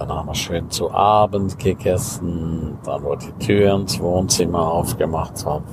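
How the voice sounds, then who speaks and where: Over noticeable background noise, a man with a very deep, low pitch speaks at a fairly slow pace with ordinary pitch variation. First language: Romansh (speaking German). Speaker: life coach and podcaster. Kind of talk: casual monologue.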